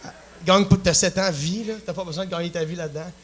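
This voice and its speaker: Here is a man with a high pitch. He keeps a moderate pace and fairly even intonation. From Quebec, Plessisville. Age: 20s. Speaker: singer-songwriter. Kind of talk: talk show interview. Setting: stage with audience. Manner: halting.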